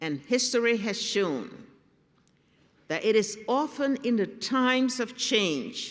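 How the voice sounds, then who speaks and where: Speaking very slowly, a woman uses lively intonation. Her fairly high voice carries vocal fry. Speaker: head of state giving a commencement address. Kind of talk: commencement speech.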